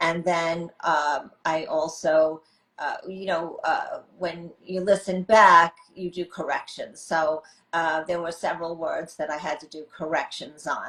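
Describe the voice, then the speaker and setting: In a New York accent, a woman with a fairly low voice talks at a fairly slow pace, her intonation monotone and flat while her loudness swings widely. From US, New York. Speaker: author. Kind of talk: interview.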